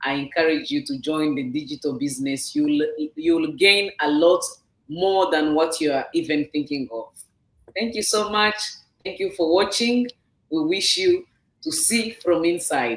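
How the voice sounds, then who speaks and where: Speaking at a fairly slow pace, a woman with a fairly low pitch makes very wide pitch swings. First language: not English. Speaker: business owner sharing her story. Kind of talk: testimony. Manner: halting.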